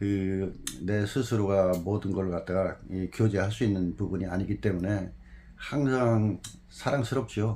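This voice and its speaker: At a fairly slow pace, a man talks in a fairly low pitch with a dark, mellow tone and ordinary pitch variation. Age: 60s. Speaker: former jockey and horse trainer. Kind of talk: interview.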